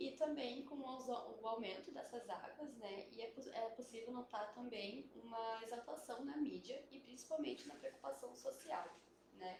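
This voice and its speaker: With audible room echo, a woman with a high-pitched voice speaks at a fairly slow pace with ordinary pitch variation. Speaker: biologist. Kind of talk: live stream interview. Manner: soft-spoken; hesitant, many fillers. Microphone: too quiet at first, mic adjusted.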